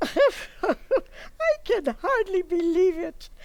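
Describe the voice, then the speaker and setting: Putting on a character voice, a woman speaks at an extremely high pitch with very wide pitch swings. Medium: stage play. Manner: blunt, matter-of-fact.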